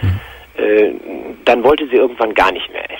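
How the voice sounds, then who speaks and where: A man talks at a moderate pace. The sound is dry with no echo. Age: 50s. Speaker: caller. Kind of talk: testimony. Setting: phone call. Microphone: phone line.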